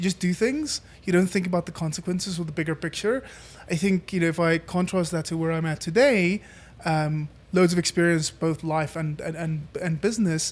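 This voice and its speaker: A man with a South African accent, high in pitch, at a fairly quick pace. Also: ordinary pitch variation. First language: Afrikaans. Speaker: entrepreneur. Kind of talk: casual interview chat. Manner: hesitant, many fillers.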